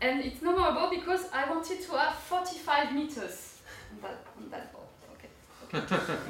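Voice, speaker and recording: A woman speaks at a high pitch and a moderate pace, with ordinary pitch variation and big swings in loudness. Audible room echo and noticeable background noise are present. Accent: French. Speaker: urban geographer and senior lecturer. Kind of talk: opening talk at an academic forum. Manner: hesitant, many fillers.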